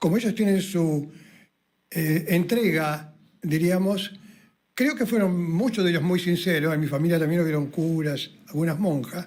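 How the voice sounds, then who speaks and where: His high voice keeps a very even loudness as this man speaks at a fairly slow pace. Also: ordinary pitch variation. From southern Chile (Puerto Natales). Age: 80s+. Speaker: pastor. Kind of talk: radio interview. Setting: radio studio.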